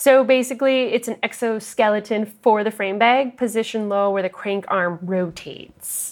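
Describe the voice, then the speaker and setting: Speaking at a moderate pace with lively intonation, a woman uses a plain, everyday voice pitched fairly high. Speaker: gear maker and shipper at a bike bag company. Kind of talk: casual interview.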